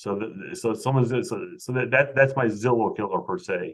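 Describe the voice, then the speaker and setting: A man talks with an American accent. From US Midwest. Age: 50s. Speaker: realtor. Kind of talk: interview. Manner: halting, repetitive.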